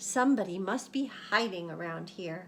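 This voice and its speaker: Through clear background noise, a woman does a put-on character voice, growling with lively intonation at a medium pitch and a moderate pace. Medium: read story. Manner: brisk, exclaiming.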